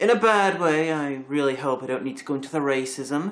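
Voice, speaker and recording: Speaking at a fairly quick pace, a man with an American accent has a fairly high pitch and ordinary pitch variation. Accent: sometimes mistaken for American. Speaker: video reviewer. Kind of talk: bloopers from a comedy review recording.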